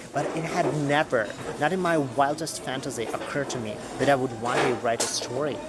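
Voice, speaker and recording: Fairly quick speech from a man with a Russian accent, fairly high pitch and ordinary pitch variation, with music in the background and audible room echo. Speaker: podcaster, writer and former medical professional. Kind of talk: personal storytelling monologue.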